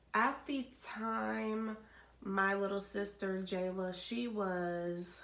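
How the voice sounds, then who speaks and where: The delivery is monotone and flat, with audible room echo. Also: woman. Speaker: vlogger. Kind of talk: storytelling. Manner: casual.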